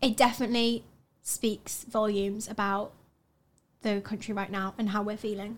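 A woman with a Yorkshire accent speaks at a fairly high pitch and a moderate pace. Her intonation is flat and monotone, with long, frequent pauses. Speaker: student podcast co-host. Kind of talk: casual chat.

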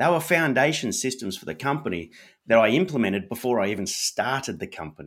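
In an Australian accent, a man talks at a moderate pace and medium pitch, with vocal fry and very wide pitch swings. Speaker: author and entrepreneur. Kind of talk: casual interview chat. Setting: live stream video call.

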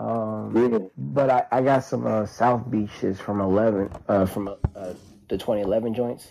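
A man with an American accent speaks in a dark, mellow tone at a fairly low pitch with fairly even intonation. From Florida. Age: 30s. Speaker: sneaker collector and DJ. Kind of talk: casual group chat. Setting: online audio room.

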